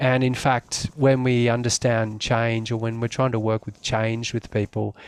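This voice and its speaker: With an Australian accent, a man speaks at medium pitch and moderate pace in a monotone, flat delivery, the sound dry and close with no echo on a very clean recording with a silent background. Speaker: community development worker. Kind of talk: presentation. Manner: hesitant, many fillers.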